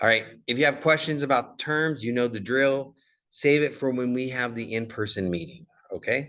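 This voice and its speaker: A man with a Californian accent talks at a moderate pace in a bright, sharp tone. The background is quiet. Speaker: college communication instructor, former Marine. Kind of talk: recorded lecture. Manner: casual, with frequent fillers.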